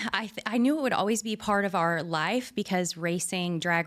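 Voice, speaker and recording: A woman in a Texan accent talks at a fairly quick pace with ordinary pitch variation, on a very clean recording with a silent background. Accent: Texan American. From rural Texas. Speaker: entrepreneur, garage owner. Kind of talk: casual interview.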